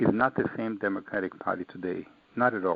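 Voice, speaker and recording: At a fairly quick pace, a man with an American accent speaks at a medium pitch with lively intonation. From Israel, Austria, then Brooklyn, New York. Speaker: author. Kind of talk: interview. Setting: online radio show. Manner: animated.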